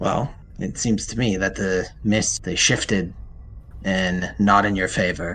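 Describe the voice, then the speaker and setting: A man's put-on character voice, very deep and low, delivered at a fairly slow pace against clear background noise. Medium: actual play. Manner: curt, commanding, terse.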